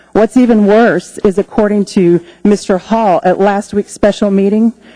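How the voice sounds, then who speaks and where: Delivered at a moderate pace with an American accent, an ordinary speaking voice keeps fairly even intonation and very even loudness in a dry, close sound with no echo. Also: woman, medium pitch for a woman. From US South. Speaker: small business owner. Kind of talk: public testimony. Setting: public hearing. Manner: formal.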